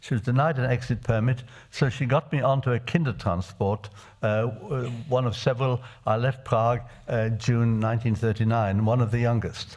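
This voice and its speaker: Somewhat breathy, a man talks at a medium pitch. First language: Czech. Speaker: refugee survivor addressing parliamentarians. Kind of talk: testimony. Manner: halting with frequent hesitations.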